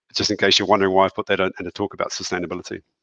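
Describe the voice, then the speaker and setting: Speaking with a New Zealand accent, a man has a bright, sharp tone and fairly low pitch, recorded with a dry, close sound and no echo. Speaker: school principal. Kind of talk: presentation with slides in a video call. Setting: video call from his office.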